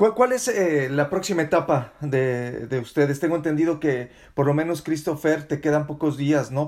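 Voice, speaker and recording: On a very clean recording with a silent background, a man with an unremarkable speaking voice and fairly high pitch talks at a moderate pace with hardly any pauses. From Mexico. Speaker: podcast host, journalist. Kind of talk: interview.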